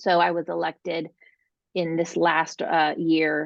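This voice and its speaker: Her voice is fairly low in pitch, and this woman speaks with a monotone, flat intonation. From California, Los Angeles. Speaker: mayor and political candidate. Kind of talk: interview.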